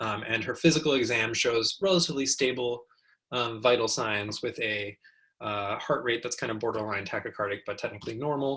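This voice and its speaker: A fairly quick pace with ordinary pitch variation. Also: man, medium pitch for a man. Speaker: oncology physician teaching residents. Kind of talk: lecture. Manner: fast; many filler words, um and uh.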